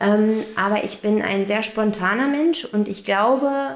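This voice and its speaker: Very slowly, a woman speaks at a medium pitch. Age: 30s. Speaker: head of housekeeping in care home. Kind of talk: casual interview. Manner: hesitant with fillers.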